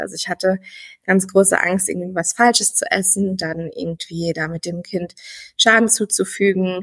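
A woman with a plain, everyday voice speaks at a medium pitch and a fairly slow pace. Her intonation is fairly even, and the sound is dry and close with no echo. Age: 30s. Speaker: former coaching client, pregnant woman. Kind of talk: interview.

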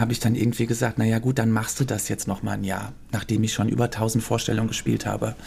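A man with a medium pitch and a dark, mellow tone talks at a very fast pace with hardly any pauses and some vocal fry. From Germany, Cologne (early childhood in Belgium). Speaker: choreographer and former musical performer. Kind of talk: casual interview. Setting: theater venue.

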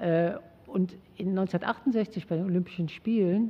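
The woman's voice is somewhat breathy. It sits at a medium pitch with ordinary variation. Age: 60s. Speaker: sociologist and former athlete. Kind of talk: interview. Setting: studio.

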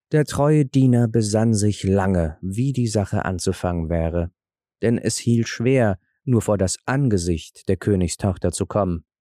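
Speaking fairly slowly, a man uses a fairly low voice with a dark, mellow tone. His loudness stays very even, and the recording is very clean with a silent background. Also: ordinary pitch variation, dry, close sound with no echo. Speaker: podcaster reading fairy tale. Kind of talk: fairy tale narration, scripted reading aloud. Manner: soothing, bedtime-story tone.

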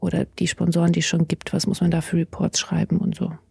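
Heard dry and close with no echo, this is a woman talking. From Bavaria, near the Alps. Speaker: livestream crew member. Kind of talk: casual interview.

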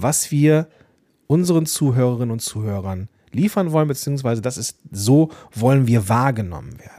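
A dark, mellow tone with lively intonation and big swings in loudness comes at a moderate pace in a very clean recording with a silent background. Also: man. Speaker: podcast coach and host. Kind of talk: solo podcast monologue.

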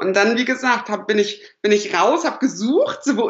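Her voice sits high in pitch. This woman's pitch swings very widely. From northern Germany, Lower Saxony (Lüneburg/Uelzen). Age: 20s. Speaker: dating platform founder. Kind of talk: podcast interview.

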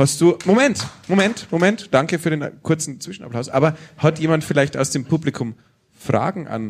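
Lively intonation marks this man's fairly high voice. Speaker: podcast host, music scene advisor. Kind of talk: live interview with audience. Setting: stage with audience.

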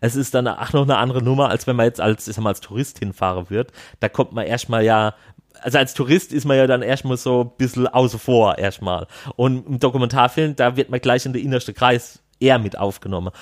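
At a fairly quick pace, a man speaks in an ordinary speaking voice with a medium pitch and ordinary pitch variation. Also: very clean recording, silent background. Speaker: film participant. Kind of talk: interview.

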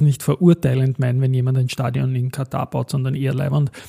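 Dry and close with no echo, a man's somewhat breathy, dark, mellow voice moves at a fairly quick pace. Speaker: stock market podcast host. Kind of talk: solo market commentary podcast.

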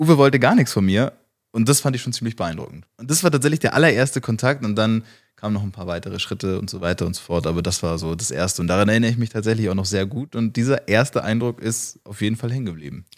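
In a very clean recording with a silent background, a man with a medium pitch talks at a very fast pace with lively intonation. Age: 20s. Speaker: business consultant. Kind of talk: interview.

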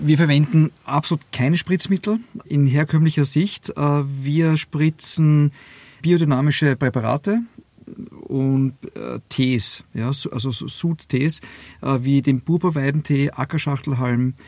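A man's fairly high voice at a very slow pace, with ordinary pitch variation and a dry, close sound free of echo. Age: 50s. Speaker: winemaker, former airline pilot. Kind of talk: interview. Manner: halting, many fillers.

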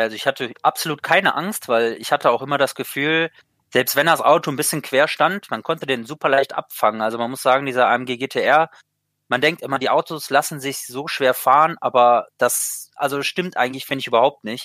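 A man's bright, sharp voice comes through dry and close, with no echo at all. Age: 20s. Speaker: sim racing driver. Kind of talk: interview. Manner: halting, many fillers.

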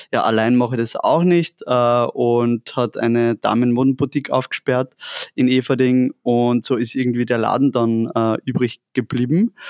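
A man with a normal speaking voice, medium pitch and a moderate pace. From Upper Austria, near Linz. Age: 30s. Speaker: fashion entrepreneur. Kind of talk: casual interview. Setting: in their shop.

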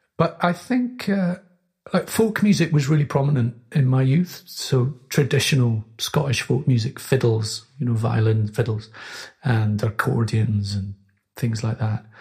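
Somewhat breathy and at a medium pitch, a man talks at a fairly slow pace with lively intonation. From Scotland, Orkney. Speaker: composer. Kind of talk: casual chat. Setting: studio.

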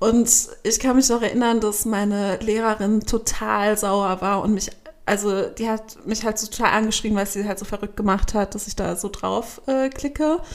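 A woman talks at a moderate pace in an unremarkable speaking voice. Her pitch is fairly high and her intonation fairly even. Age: 30s. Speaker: magazine editor and podcast host. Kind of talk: casual chat.

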